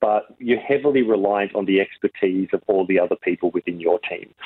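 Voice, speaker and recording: Fairly quick male speech in an Australian accent. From Australia, Riverina NSW. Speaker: film director. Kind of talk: interview.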